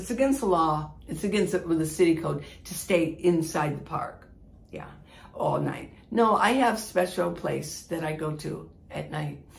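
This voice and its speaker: Fairly low-pitched with vocal fry, a woman talks at a moderate pace. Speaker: van life vlogger. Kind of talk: casual vlog chat answering viewer questions. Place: home room. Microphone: phone near.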